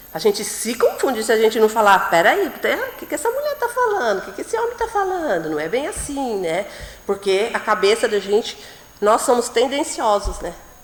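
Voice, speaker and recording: At a moderate pace, the talking competes with noticeable background noise. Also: woman. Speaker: preacher. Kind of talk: sermon.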